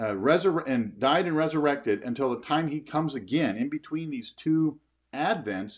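A man at a moderate pace with very wide pitch swings, over a quiet background. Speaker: pastor. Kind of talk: sermon. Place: home room. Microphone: camera far.

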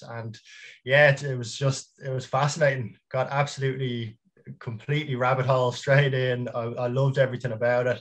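Against a quiet background, a man with a Dublin accent talks at a fairly quick pace in a somewhat breathy voice with monotone, flat intonation. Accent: Dublin Irish. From Dublin, Ireland; Ireland. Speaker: small business founder; guest. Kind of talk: casual interview chat. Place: home room.

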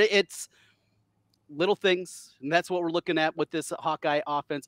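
A man speaks with an American accent. The background is quiet and the sound dry, with no echo. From US Midwest. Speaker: sports podcast host. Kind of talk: casual sports chat. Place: home room. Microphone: headset.

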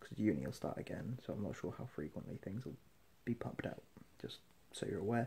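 With vocal fry and a dark, mellow tone, a man speaks at a fairly quick pace in a fairly low pitch, his intonation lively. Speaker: vlogger. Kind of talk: casual vlog chat. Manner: drowsy, low-energy sleep-deprived talk. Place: home room. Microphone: phone near.

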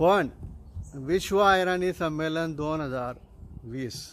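An unremarkable speaking voice from a man, fairly high in pitch with ordinary pitch variation. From Khandesh, Dhule district, Maharashtra, India. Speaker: event speaker promoting a conference. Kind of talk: promotional announcement.

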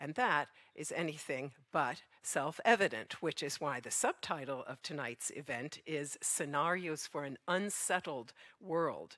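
A woman with a very deep, low pitch and a bright, sharp tone speaks at a fairly slow pace. The sound is dry with no echo over a quiet background. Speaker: event moderator. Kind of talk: event moderation introduction. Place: stage. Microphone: headset.

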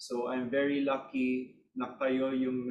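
A man speaks in a flat monotone. The room echoes audibly, with light background noise. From Philippines. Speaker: P-pop group member; guest. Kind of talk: interview. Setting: video call. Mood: grateful, warm. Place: home room. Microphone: video call.

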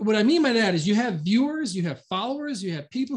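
With an American accent, the speaker goes at a very fast pace. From Chicago, US Midwest. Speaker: shaved ice shop owner and trainer. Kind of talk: live online training presentation. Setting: video call and Facebook live. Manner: casual, conversational, with fillers.

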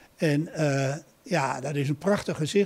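Here a man talks at a fairly slow pace. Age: 80s+. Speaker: retired building restorer. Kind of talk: interview answer. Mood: proud, warm. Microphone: handheld.

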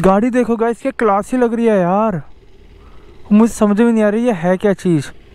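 A man speaks at a moderate pace in a high pitch, his clear, smooth tone also dark and mellow, with ordinary pitch variation.

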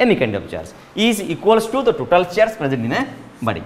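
Speaking at a moderate pace, the voice is a man's. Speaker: physics teacher. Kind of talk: lecture. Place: classroom. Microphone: lapel.

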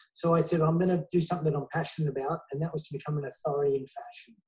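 Over a quiet background, a man with a dark, mellow tone and fairly high pitch talks at a very fast pace. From Australia. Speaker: celebrity hair stylist and salon owner; interviewee. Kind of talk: interview; interview answer. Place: home room. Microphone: earbuds.

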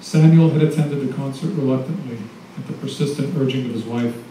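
In a room with audible echo and light background noise, a man speaks at a very fast pace with ordinary pitch variation. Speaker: novelist. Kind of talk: reading aloud. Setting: stage with audience. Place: cafe.

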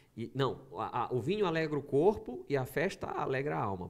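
Over a quiet background, a man with vocal fry speaks at a moderate pace in a fairly high voice, his pitch swinging very widely. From Brazil, Maranhão (São Luís). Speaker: pastor podcast guest. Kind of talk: casual podcast conversation. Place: studio. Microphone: studio mic.

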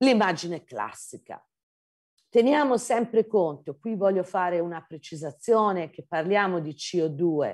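Against a quiet background, a woman speaks in a Tuscan accent at a medium pitch. Her pace is fairly slow, her intonation lively. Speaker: geology professor. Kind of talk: lecture. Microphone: video call.

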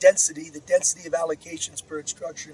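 Recorded dry with no echo over light background noise, a man speaks with ordinary pitch variation. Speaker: software engineering manager. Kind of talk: interview answer. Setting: outdoors. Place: open country.

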